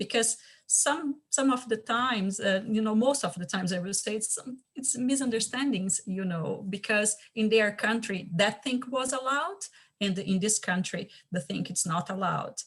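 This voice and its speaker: A woman with a Portuguese accent speaks at a moderate pace. Her voice is somewhat breathy and fairly high in pitch. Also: ordinary pitch variation. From Brazil. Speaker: community champion. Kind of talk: panel discussion. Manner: halting.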